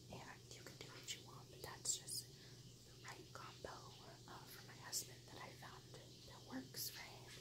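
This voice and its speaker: A soft-spoken woman whispers at a fairly slow pace over loud background noise. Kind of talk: casual tutorial chat. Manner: soft ASMR whisper. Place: home room. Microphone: phone near.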